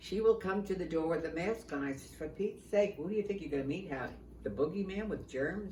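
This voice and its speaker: A medium-pitched woman with ordinary pitch variation, amid noticeable background noise and audible room echo. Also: fairly quick pace. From New York. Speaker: retirement community resident. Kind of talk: casual chat.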